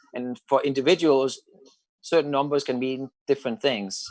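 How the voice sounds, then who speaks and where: A man speaks at a moderate pace with a Danish accent. His pitch sits in the medium range. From Denmark. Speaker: psychic channeler and spiritual mentor. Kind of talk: radio interview. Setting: talk radio show.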